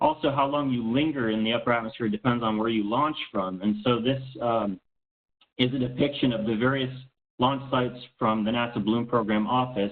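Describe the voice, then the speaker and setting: At a fairly quick pace, a man talks in a medium pitch with fairly even intonation. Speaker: space radiation scientist. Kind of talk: lecture. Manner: fast.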